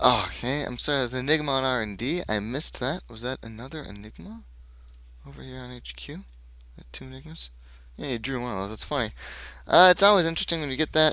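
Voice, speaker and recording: Loudness swings widely as a man talks at a very fast pace. The recording is very clean, with a silent background. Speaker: game commentator. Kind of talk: live commentary. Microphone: new headset microphone.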